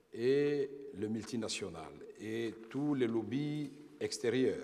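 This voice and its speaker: A man talks at a medium pitch. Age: 50s. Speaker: former politician, witness. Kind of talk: testimony before tribunal. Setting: tribunal hearing.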